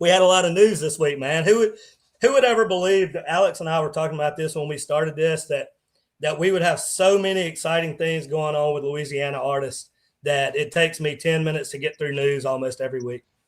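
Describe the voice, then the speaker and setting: Racing along very fast, a man talks with ordinary movement in his pitch. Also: fairly high pitch for a man. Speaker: podcast host. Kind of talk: casual interview chat.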